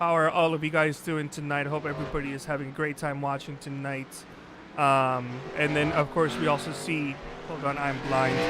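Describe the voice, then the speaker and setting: A man with a fairly high pitch and a Spanish accent. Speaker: sim racing commentator and producer. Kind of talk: live commentary.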